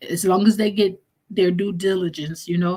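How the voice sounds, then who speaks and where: Somewhat breathy, the voice holds a monotone, flat intonation throughout. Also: woman. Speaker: live stream host. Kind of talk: live chat stream, reading viewer comments. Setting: live stream.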